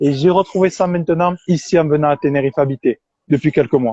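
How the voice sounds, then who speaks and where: With a southern French accent, a man talks at a moderate pace in a fairly high pitch with ordinary pitch variation, the sound dry and close with no echo. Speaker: interviewer. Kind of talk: interview.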